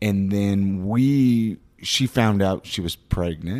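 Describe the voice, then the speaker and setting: The recording is very clean with a silent background. A man speaks very slowly at a fairly low pitch with ordinary pitch variation. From Southern California, Ventura. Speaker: podcast co-host. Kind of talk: casual interview chat.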